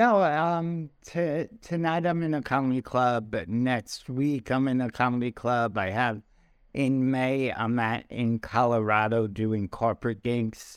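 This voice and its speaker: In a very clean recording with a silent background, a man with a New York accent talks at a fairly slow pace. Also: medium pitch for a man, ordinary pitch variation. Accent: New York American. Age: 40s. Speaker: comedian. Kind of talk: casual chat.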